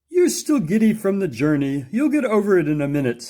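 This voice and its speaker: A man uses a put-on character voice, high-pitched, with very wide pitch swings. He talks at a fairly quick pace with very even loudness. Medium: read story.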